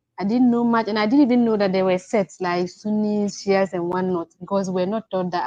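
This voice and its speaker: Speaking with a Ghanaian accent at a medium pitch, a woman has a dark, mellow tone and ordinary pitch variation, recorded dry and close with no echo against a quiet background. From Ghana, village upbringing. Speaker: caller. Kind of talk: testimony. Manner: halting; soft-spoken.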